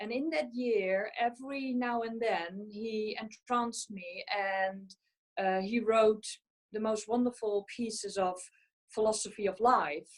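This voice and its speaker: A woman with a Dutch accent, fairly high-pitched, at a fairly slow pace. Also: ordinary pitch variation. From Netherlands, central. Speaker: physical medium and mediumship tutor. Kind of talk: panel discussion. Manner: hesitant, many fillers.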